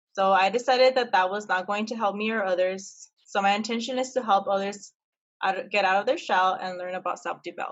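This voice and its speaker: At a fairly quick pace, a woman with an American accent uses a normal speaking voice at medium pitch. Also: fairly even intonation. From El Paso, Texas. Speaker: podcast co-host. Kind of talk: casual chat.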